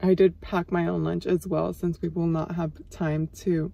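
The woman's voice has a dry sound with no echo. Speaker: flight attendant vlogger. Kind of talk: casual vlog chat. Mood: relaxed, curious. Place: car. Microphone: phone near.

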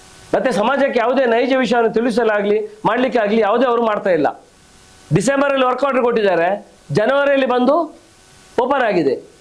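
A man speaks in an extremely high voice with ordinary pitch variation and very even loudness. Noticeable background noise is present. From coastal Karnataka, Karkala area. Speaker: local politician. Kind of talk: press conference statement. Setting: press conference with reporters.

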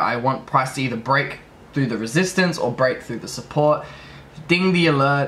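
The man keeps a moderate pace, and his pitch varies in an ordinary way. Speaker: trading vlogger. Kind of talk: casual vlog chat. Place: home room. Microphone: phone near.

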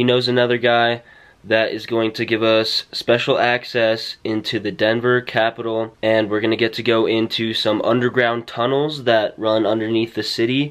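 A man in a flat monotone at a moderate pace, hardly any pauses, quiet background. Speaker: vlogger. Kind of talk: casual vlog chat. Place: home room. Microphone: phone near.

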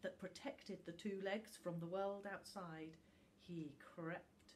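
The delivery is a natural reading voice, its intonation fairly even.

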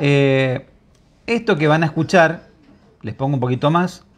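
Against light background noise, a man speaks at a fairly high pitch. His pace is fairly slow and his intonation lively. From Argentina. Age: 50s. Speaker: online journalist. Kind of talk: video commentary. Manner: animated. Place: home room. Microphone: lapel.

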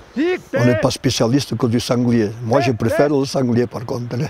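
Here a man of medium pitch speaks at a very slow pace. Noticeable background noise is present. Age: 80s+. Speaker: hunting dog handler. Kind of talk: interview answer.

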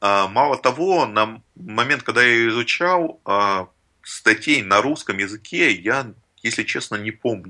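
Very slowly, a man speaks at a medium pitch with a bright, sharp tone. His intonation is lively. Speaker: software tech lead. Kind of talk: casual interview.

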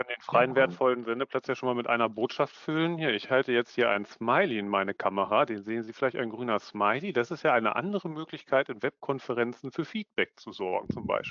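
With lively intonation and hardly any pauses, a man at a medium pitch talks at a fairly quick pace, the sound dry with no echo over a quiet background. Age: 30s. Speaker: management consultant, business psychologist. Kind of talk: online conference presentation. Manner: animated. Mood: relaxed, friendly. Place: home room. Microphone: headset.

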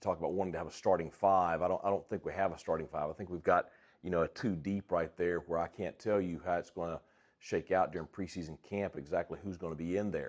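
Against a quiet background, a man with a very deep, low pitch speaks very fast in a flat monotone. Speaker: head football coach. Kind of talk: interview answer. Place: office.

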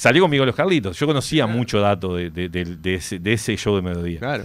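A man speaks at a very fast pace with very wide pitch swings. The background is quiet. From Uruguay. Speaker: author of a biography; interview guest. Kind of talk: radio interview, casual chat; interview answer. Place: studio. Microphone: studio mic.

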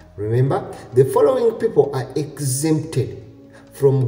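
Faint music plays in the background, and audible room echo fills the recording. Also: man. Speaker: travel news vlogger. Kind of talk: informational vlog commentary. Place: home room. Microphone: webcam.

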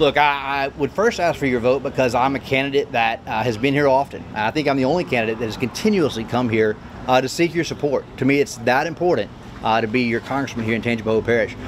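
A man's very fast speech at a medium pitch, with ordinary pitch variation and light background noise. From rural Louisiana. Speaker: congressional candidate; candidate. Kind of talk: interview. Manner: hesitant with fillers. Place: street.

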